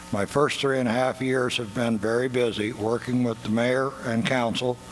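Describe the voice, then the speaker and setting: A man's medium-pitched, monotone, flat delivery at a moderate pace, with noticeable background noise. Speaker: city council candidate, Vietnam veteran. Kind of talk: opening statement at forum. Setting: candidate forum at performing arts center.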